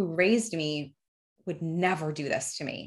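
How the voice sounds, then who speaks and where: A woman's bright, sharp, fairly low voice with an American accent, on a very clean recording with a silent background. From New Jersey, US. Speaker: donor-conceived person sharing her story. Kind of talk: personal testimony in interview.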